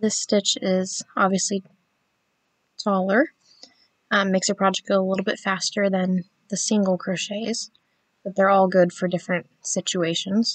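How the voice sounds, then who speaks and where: A woman talks in a monotone, flat intonation with long, frequent pauses, recorded dry and close with no echo. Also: medium pitch for a woman. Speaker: crochet teacher. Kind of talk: tutorial. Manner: slow.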